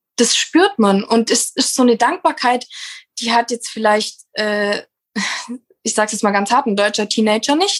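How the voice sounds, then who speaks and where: A woman with a fairly high voice speaks in an animated tone at a fairly slow pace, with long, frequent pauses. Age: 20s. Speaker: landscape gardener in family business. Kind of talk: interview.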